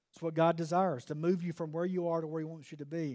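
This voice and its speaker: The speaker has a Southern US accent and an animated tone. The recording is very clean with a silent background. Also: man. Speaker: preacher. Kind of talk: fiery sermon to a men's gathering, preacher in full flow with call-and-response. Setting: church event with live audience.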